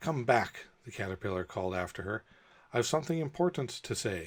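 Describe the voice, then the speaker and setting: A put-on, raspy character voice from a man, medium in pitch with very wide pitch swings, at a fairly quick pace, in a very clean recording with a silent background. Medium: read story. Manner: curt, stern, contemptuous.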